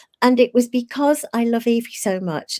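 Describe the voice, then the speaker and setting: Here is a woman with a British accent and a fairly high pitch. The sound is dry and close, with no echo. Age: 60s. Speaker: live show co-host. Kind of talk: casual chat, personal storytelling.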